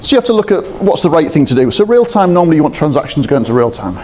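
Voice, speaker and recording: Against noticeable background noise, a man with a British accent talks very fast, his pitch swinging very widely. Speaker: procurement systems integration specialist. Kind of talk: conference presentation.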